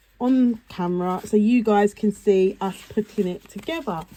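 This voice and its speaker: A woman talks at a moderate pace with a fairly high pitch and ordinary pitch variation. Noticeable background noise is present. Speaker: card making crafter. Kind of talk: tutorial. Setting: on camera at craft table. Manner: casual, slightly halting.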